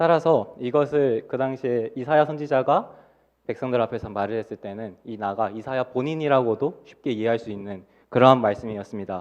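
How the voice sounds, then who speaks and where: Loudness rises and falls sharply. Pitch varies in an ordinary way over a quiet background. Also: man. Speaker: junior pastor preaching. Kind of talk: sermon. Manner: fast.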